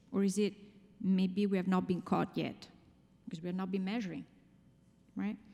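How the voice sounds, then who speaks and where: Somewhat breathy and dark, mellow in tone, the voice carries an Italian accent with monotone, flat intonation and long, frequent pauses. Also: woman, medium pitch for a woman, moderate pace. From Italy. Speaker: finance executive, conference speaker. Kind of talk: conference talk.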